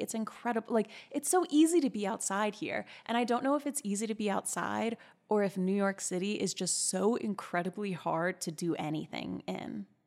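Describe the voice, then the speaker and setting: A woman with a normal speaking voice talks at a fairly quick pace, her medium pitch carried by lively intonation. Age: 30s. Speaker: podcast host. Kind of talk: casual chat. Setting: home office recording.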